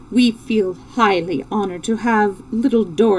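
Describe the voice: Fairly even intonation in plain reading aloud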